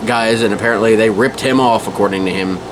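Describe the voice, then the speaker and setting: A man's fairly low voice with ordinary pitch variation, set against noticeable background noise. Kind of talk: rant to camera. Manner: casual, irritated, rambling.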